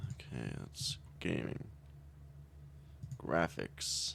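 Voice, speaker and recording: A soft-spoken man talks at a very slow pace. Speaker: gaming streamer. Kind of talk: live gameplay commentary. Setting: live stream. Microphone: sits far from mic, gain up.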